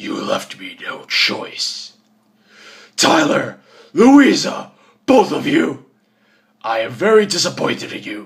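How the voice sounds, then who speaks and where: A man uses a put-on character voice, pitched high. He talks at a fairly slow pace with long, frequent pauses. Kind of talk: character voice audition. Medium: voice reel. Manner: stern, grave.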